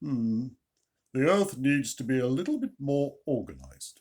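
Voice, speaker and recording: At a moderate pace, a man uses a booming put-on character voice of medium pitch, with a warm tone and ordinary pitch variation. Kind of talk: bedtime story. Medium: read story. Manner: warm and pleased, like Father Christmas.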